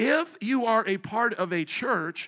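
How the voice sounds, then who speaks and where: A man projects a raised voice with a bright, sharp tone and lively intonation. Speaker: pastor. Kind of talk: sermon. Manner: loud; repetitive.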